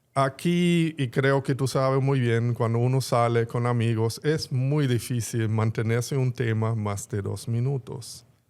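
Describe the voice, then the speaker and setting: In a very clean recording with a silent background, a man with a German accent speaks at a fairly slow pace and a medium pitch. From Germany (Berlin). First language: German (speaking Spanish). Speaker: bookstore executive. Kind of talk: interview conversation.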